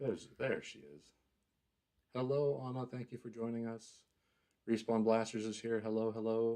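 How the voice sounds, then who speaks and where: A soft-spoken man with a dark, mellow tone talks at a moderate pace and medium pitch, with fairly even intonation, long, frequent pauses and big swings in loudness. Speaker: live stream host. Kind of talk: casual chat. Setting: live stream.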